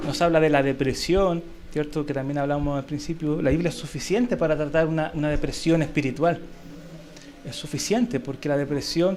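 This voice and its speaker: Fairly high-pitched male speech with fairly even intonation and audible room echo. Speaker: Sunday school teacher. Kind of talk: Bible class lecture. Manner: conversational, checks understanding with questions.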